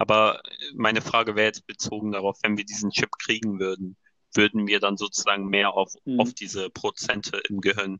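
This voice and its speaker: Speaking at a moderate pace, a man uses an ordinary speaking voice with a fairly low pitch and fairly even intonation. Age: 20s. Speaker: design student and podcast co-host. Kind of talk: casual chat. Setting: phone recording. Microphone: phone microphone, sounds like a call.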